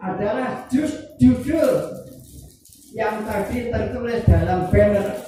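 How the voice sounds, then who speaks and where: Over music in the background and audible room echo, a man talks very slowly with ordinary pitch variation. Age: 80s+. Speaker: elderly speaker at a discussion forum. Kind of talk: talk to an audience.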